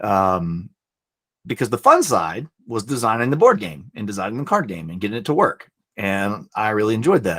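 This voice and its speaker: In a Southern US accent, a man speaks at a moderate pace with lively intonation and big swings in loudness. The recording is very clean, the background silent. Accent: Southern twang. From US South, Alabama. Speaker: board game designer and publisher. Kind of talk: talk to students. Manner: casual, many filler words.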